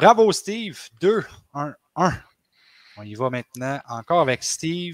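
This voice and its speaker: At a very slow pace with long, frequent pauses, a man speaks in a fairly high voice with very wide pitch swings and big swings in loudness, and the sound is dry and close with no echo. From Quebec. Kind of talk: casual chat. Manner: animated.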